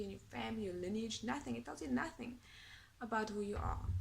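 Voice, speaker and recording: A woman with a South African accent talks at a fairly quick pace. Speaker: academic vlogger. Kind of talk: casual vlog monologue. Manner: hesitant with fillers.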